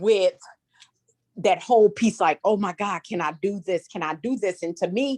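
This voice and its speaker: A woman speaks fairly slowly at a medium pitch, her pitch swinging very widely, in a dry, close sound with no echo. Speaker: educator. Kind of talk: casual group chat. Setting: video call. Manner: enthusiastic.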